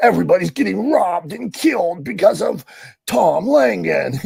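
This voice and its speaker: A man's put-on character voice, dramatic in tone, at a moderate pace. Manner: scary, ominous, dramatic.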